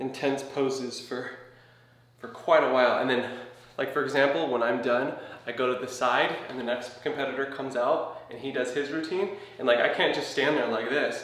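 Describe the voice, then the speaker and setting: A man at a moderate pace, his intonation fairly even, with audible room echo. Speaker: physique competitor vlogger. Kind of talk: casual vlog chat. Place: home room. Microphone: camera far.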